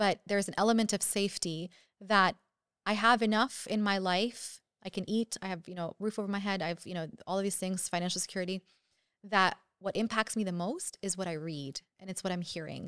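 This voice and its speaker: Against a quiet background with a dry sound and no echo, a woman with a Canadian accent talks at a very fast pace, her pitch medium and her intonation fairly even. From Canada, Syrian family. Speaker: psychiatry resident; podcast guest. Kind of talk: casual interview. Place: studio. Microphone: studio mic.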